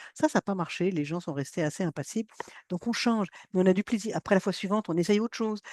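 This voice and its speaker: A woman speaks very fast in an animated tone, her pitch medium with ordinary variation. The sound is dry and close with no echo over a quiet background. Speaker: science communication trainer. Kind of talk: workshop training.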